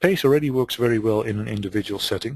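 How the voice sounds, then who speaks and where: A man with a Dutch accent and a medium-pitched, somewhat breathy voice speaks at a fairly quick pace with lively intonation, against a quiet background in a dry, close sound with no echo. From Netherlands. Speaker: business consultant. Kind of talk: webinar presentation. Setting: webinar call.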